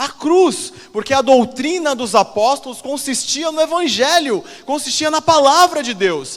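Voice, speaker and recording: Animated in tone, a man speaks at a fairly slow pace. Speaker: pastor. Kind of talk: sermon.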